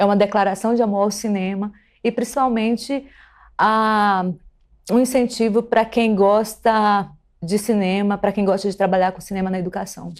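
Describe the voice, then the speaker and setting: On a very clean recording with a silent background, a woman speaks at a moderate pace and medium pitch with fairly even intonation. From Pará, northern Brazil (Belém). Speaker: film curator and philosophy teacher. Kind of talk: TV interview. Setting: TV studio.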